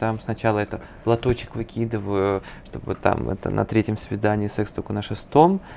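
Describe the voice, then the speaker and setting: A man speaks in a normal speaking voice at a medium pitch and moderate pace. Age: 20s. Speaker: psychologist. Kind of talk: interview.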